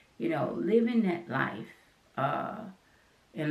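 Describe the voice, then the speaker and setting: A woman's American accent and lively intonation, with audible room echo. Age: 60s. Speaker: artist and channel host. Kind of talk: personal talk to camera. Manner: halting.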